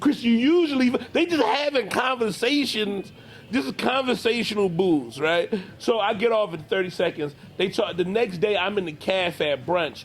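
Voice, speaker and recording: At a moderate pace and with very wide pitch swings, a high-voiced man with an American accent talks over noticeable background noise. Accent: Philadelphia accent, toned down. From South Philadelphia, US. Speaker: comedian. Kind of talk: interview. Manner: casual, slangy.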